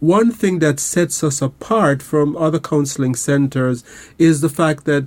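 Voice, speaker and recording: A man speaks fairly slowly in a Caribbean accent. His pitch is fairly high. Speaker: counselor and radio host. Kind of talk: radio show talk; promotional appeal. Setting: studio. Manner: calm, relaxed.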